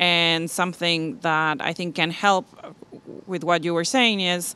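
With a Spanish accent and a bright, sharp tone, this very slow voice shows ordinary pitch variation in a dry sound with no echo. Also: woman. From Argentina. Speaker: diversity and inclusion specialist. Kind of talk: panel discussion. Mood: thoughtful, engaged. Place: hall. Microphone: handheld.

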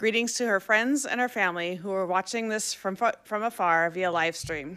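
A woman's voice with a bright, sharp tone. The background is quiet. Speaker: event moderator. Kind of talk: formal introduction and Q&A moderation. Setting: stage with audience, live-streamed. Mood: warm, welcoming. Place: hall. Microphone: podium.

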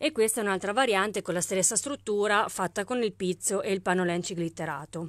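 A woman's upbeat, fairly quick delivery with hardly any pauses and ordinary pitch variation, dry with no echo, over a quiet background. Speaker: craft shop owner selling haberdashery products online. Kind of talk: live-stream sales pitch; street-seller-style pitchman patter, rattling off kit prices and discounts. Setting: live video stream. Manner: upbeat, brisk, persuasive, pushing the bargain with price comparisons; chatty and friendly, greeting viewers by name. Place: shop. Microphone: phone near.

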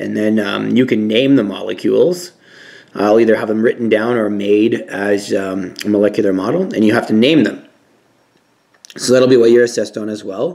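Against a quiet background, a man speaks at a fairly low pitch with ordinary pitch variation. It is an ordinary speaking voice at a moderate pace. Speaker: science teacher. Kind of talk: lecture. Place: home room. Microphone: phone near.

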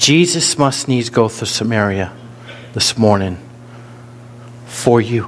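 A man with an American accent, ordinary pitch variation, a very slow pace and long, frequent pauses, over light background noise. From US North. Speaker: pastor. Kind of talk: sermon. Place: church.

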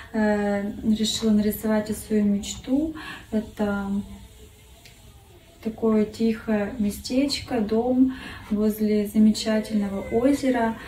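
At a very slow pace, a woman speaks in a fairly high voice with very even loudness, fairly even intonation and long, frequent pauses, over light background noise with audible room echo. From Russia, Kurgan; Russia. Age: 30s. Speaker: art contest entrant, design student. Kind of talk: self-introduction video; contest self-presentation. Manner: halting, many fillers. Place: home room. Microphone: phone near.

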